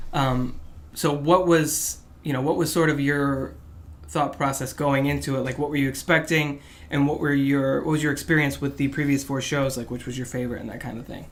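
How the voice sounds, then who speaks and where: A man talks at a fairly quick pace with a fairly high pitch and monotone, flat intonation, amid audible room echo. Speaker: podcast host. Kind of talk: casual chat. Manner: fast.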